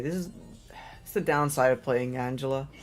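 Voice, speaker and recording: Music plays in the background. Over it, a man speaks in an animated tone. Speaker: gaming streamer. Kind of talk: live gameplay commentary. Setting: live stream. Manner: casual, animated.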